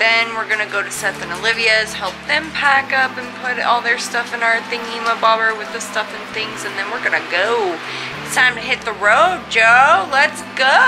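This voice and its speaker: With music in the background, a woman talks at a moderate pace and with ordinary pitch variation. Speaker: vlogger. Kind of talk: casual vlog chat. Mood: relaxed, a bit drowsy, playful. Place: home room. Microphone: phone near.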